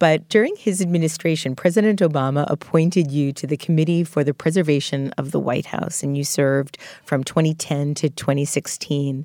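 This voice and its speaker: In an American accent, the speaker keeps a moderate pace with ordinary pitch variation and hardly any pauses. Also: woman, very deep, low pitch for a woman. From New York City, Queens. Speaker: podcast host. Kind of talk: interview.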